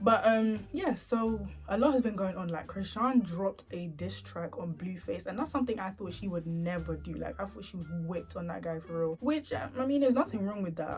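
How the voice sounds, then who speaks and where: With music in the background, a woman speaks quietly and fairly quickly, hardly pausing, her loudness swinging a lot. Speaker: YouTuber. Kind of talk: casual storytime vlog. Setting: at home at night. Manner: quiet, speaking low.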